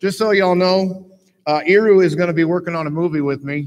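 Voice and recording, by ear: A man's fairly quick delivery, high-pitched for a man, with ordinary pitch variation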